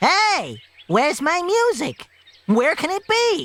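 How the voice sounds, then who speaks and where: A put-on character voice at an extremely high pitch, at a fairly slow pace. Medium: read story.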